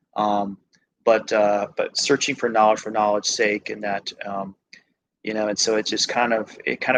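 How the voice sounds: Little pitch movement at a moderate pace. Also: man, fairly bright tone.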